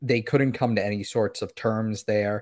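In an American accent, a man speaks at a medium pitch with ordinary pitch variation in a normal speaking voice. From South Florida. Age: 20s. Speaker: soccer content creator. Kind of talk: casual chat.

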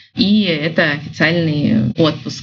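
A woman speaks with a fairly low pitch and ordinary pitch variation. Her voice is somewhat breathy, with audible room echo. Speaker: business development manager and photographer. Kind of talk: interview.

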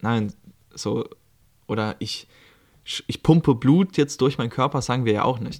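The man's medium-pitched voice shows ordinary pitch variation in a very clean recording with a silent background. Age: 20s. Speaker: life coach and podcaster. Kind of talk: casual solo monologue. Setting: recording at his aunt's home in Lithuania.

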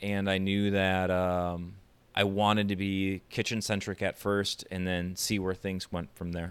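The voice has an American accent and moves at a fairly slow pace. Its intonation is monotone and flat. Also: man. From western Wisconsin, US Midwest. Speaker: chef. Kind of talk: casual interview.

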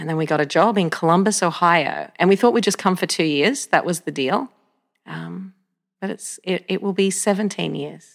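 A woman with an Australian accent, fairly low in pitch with vocal fry, ordinary pitch variation and a moderate pace. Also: very clean recording, silent background. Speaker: pastor. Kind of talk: casual interview.

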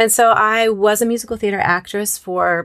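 A woman with an American accent speaks in an unremarkable speaking voice with ordinary pitch variation, on a very clean recording with a silent background. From US Northwest, Moscow, Idaho. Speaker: singer and singing teacher. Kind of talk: casual interview.

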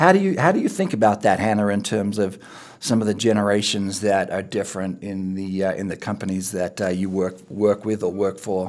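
In a very clean recording with a silent background, a man with an Australian accent speaks at a moderate pace and a fairly low pitch. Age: 50s. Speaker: podcast host. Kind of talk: casual interview chat.

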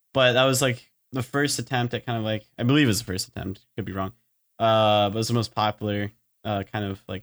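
A man with an ordinary speaking voice talks at a fairly quick pace, his fairly low pitch carried by fairly even intonation. The recording is very clean with a silent background and a dry, close sound with no echo. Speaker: engineering student and student teacher. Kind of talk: casual chat.

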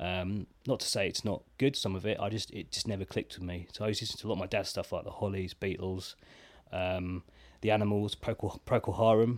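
Speaking at a very fast pace, a man with an English accent uses a fairly low pitch and fairly even intonation. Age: 30s. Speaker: drummer. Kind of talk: casual chat.

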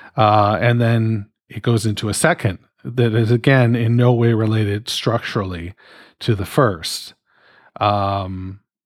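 A man with a Canadian accent speaks at a very slow pace and medium pitch with ordinary pitch variation. The recording is very clean, with a silent background and a dry, close sound with no echo. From Canada. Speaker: podcast host. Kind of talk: personal monologue. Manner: rambling, halting.

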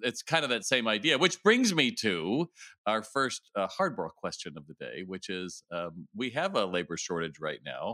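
Very wide pitch swings and vocal fry mark this man's speech. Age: 60s. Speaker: podcast host and retail consultant. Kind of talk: interview conversation.

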